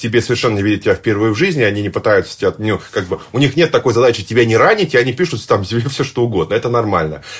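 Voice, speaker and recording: Talking very fast, a man keeps a medium pitch and lively intonation. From Tatarstan, Russia (Nizhnekamsk). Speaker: public speaking coach. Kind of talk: casual interview.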